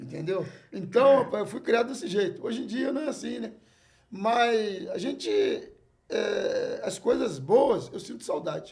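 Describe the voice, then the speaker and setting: Speaking at a fairly slow pace, a man swings widely in loudness while audible room echo surrounds him. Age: 60s. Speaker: jongo master. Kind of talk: casual chat.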